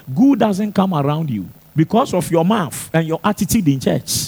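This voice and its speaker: His pitch is high for a man. The voice swings very widely in pitch. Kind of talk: sermon. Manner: animated, emphatic preacher in full flow, hammering points with repetition; rhetorical questions to the congregation, teaching with call-and-response energy.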